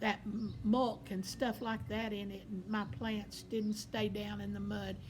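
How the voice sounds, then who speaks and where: In a Southern US accent, a woman speaks at a fairly slow pace, with audible room echo around her. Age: 70s. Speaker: vlogger. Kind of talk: casual personal monologue.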